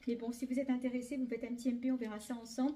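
Her pitch sits high as the woman speaks. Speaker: clothing shop owner doing a sales video. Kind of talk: sales pitch.

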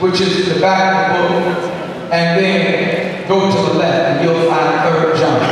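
Amid strong room echo and light background noise, a man with a high pitch speaks in a monotone with flat intonation. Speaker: pastor. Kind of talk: sermon. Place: church.

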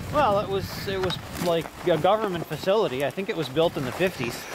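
Loud background noise surrounds a man talking at a moderate pace. The sound is dry, with no echo. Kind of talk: casual explanation while walking. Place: forest. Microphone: phone near.

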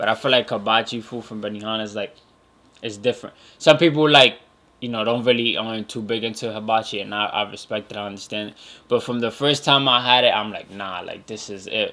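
A man speaks at a fairly quick pace with a bright, sharp tone. His intonation stays fairly even. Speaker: podcast host. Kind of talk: casual podcast monologue. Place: home room. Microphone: studio mic.

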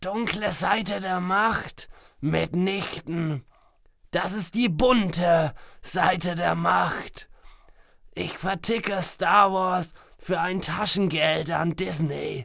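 A raspy, female-sounding voice sits at a middle pitch with ordinary pitch variation. The pace is very slow, broken by long, frequent pauses. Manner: smug, theatrical villain.

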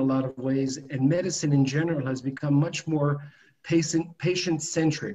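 In an American accent, a somewhat breathy man talks at a fairly slow pace with fairly even intonation. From New York. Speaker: biotech founder and dentist. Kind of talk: business presentation. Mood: calm, explanatory. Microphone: video call.

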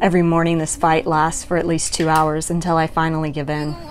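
A woman's fairly low-pitched voice over music in the background. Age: 30s. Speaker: person with young onset Parkinson's, single mom. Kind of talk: inspirational personal narration.

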